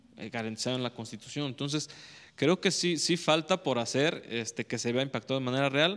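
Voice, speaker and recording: This man speaks at a fairly quick pace. His pitch variation is ordinary. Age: 30s. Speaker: electoral institute councillor. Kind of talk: panel discussion. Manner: halting, many repetitions. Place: studio. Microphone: handheld.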